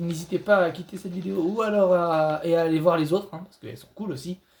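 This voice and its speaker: A man talks very fast in a high voice, his loudness swinging widely. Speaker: gaming youtuber. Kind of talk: gameplay commentary. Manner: halting, repetitive stammering.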